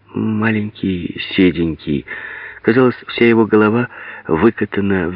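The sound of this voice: The pitch moves in an ordinary way through an unforced reading voice.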